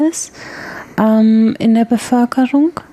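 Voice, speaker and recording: A woman speaks at a very slow pace with ordinary pitch variation. The sound is dry and close with no echo, though noticeable background noise comes through. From Bavaria, Germany (Regensburg). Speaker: radio host. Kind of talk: news reading. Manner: formal.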